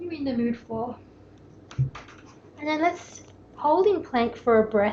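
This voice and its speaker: A woman speaks in an Australian accent, her voice high-pitched with lively intonation. Her tone is calm and gentle. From Melbourne, Australia. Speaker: yoga teacher. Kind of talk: guided yoga class instruction. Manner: calm, gentle.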